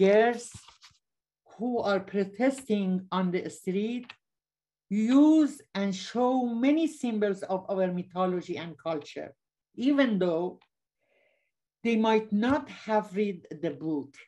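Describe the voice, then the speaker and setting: Against a quiet background, a woman with a Persian accent talks very slowly at medium pitch in a dark, mellow tone with lively intonation and long, frequent pauses. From Iran. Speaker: author; panelist. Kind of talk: presentation reading from slides. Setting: video call. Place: home room. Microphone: webcam.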